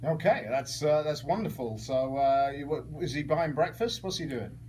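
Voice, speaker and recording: A man speaks at a moderate pace in a fairly high voice with ordinary pitch variation, over noticeable background noise. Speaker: radio host. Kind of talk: radio interview questions.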